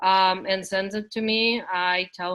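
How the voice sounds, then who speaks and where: Speaking with a non-native accent, a woman uses monotone, flat intonation at a medium pitch. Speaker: teaching and learning center facilitator. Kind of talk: online workshop discussion. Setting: video call.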